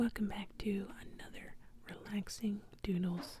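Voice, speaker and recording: The speaker is whispering. The pace is fairly slow. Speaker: ASMR artist. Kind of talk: ASMR drawing narration. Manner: whispered, soft-spoken.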